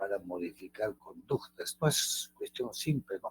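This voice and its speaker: Here a man speaks in a somewhat breathy way. The recording is dry and close, with no echo. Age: 70s. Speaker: teacher. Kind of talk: lecture. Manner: halting.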